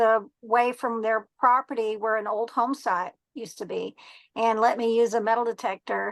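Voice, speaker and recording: The intonation is fairly even, with a dry, close sound with no echo over a quiet background. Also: woman, fairly high pitch for a woman, moderate pace. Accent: Texan. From Texas. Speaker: treasure hunter and metal detectorist. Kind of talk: podcast interview. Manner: halting, many fillers.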